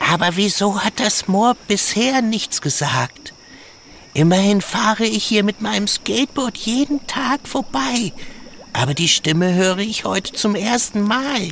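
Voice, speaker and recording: A put-on character voice at a fairly high pitch speaks at a fairly slow pace over clear background noise. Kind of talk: children's audio drama. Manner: excitable.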